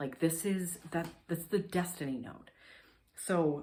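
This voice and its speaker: A woman with an animated tone, ordinary pitch variation and a fairly slow pace. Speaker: astrologer. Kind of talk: horoscope reading. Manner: casual, filler-heavy (like, um).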